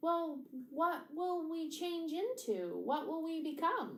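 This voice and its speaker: A woman uses a put-on character voice at an extremely high pitch, speaking fairly slowly with audible echo. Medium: read story. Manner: eager, wide-eyed.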